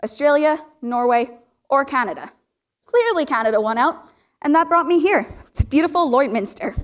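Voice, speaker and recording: A woman speaks at a high pitch and a moderate pace, with lively intonation. Her loudness stays very even, broken by long, frequent pauses. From Northern Ireland, Belfast. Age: young. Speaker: student presenter. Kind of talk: personal presentation talk.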